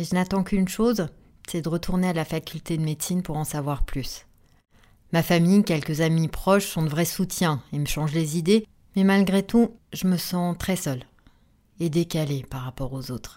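With a dark, mellow tone, a woman talks at a moderate pace with ordinary pitch variation on a very clean recording with a silent background. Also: fairly low pitch for a woman. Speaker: podcast host living with multiple sclerosis. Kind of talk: personal narrated testimony.

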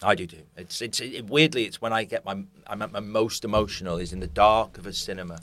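With a British accent, a man talks very fast at a fairly low pitch. His pitch variation is ordinary, but his loudness swings widely. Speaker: podcast host. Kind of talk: interview chat. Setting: studio.

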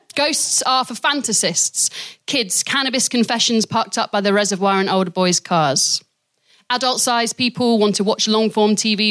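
A woman with a fairly high voice and ordinary pitch variation talks at a moderate pace in an ordinary speaking voice, recorded dry and close with no echo. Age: 30s. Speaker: poet and theatre maker. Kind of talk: casual chat; poetry performance. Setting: stage with audience.

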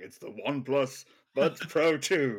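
A man puts on a character voice. It is fairly high in pitch and comes at a fairly slow pace. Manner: dramatic, theatrical.

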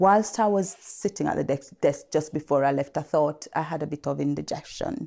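On a very clean recording with a silent background, a woman with a very deep, low pitch and a dark, mellow tone talks at a fairly quick pace. Vocal fry runs through her speech, and her pitch variation is ordinary. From Leicester, East Midlands. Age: 50s. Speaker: GP. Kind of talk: panel discussion testimony.

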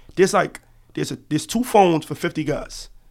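On a very clean recording with a silent background, a man with an American accent talks at a very fast pace with vocal fry and ordinary pitch variation. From Harlem, New York City. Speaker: former prisoner, college student. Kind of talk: interview. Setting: podcast studio.

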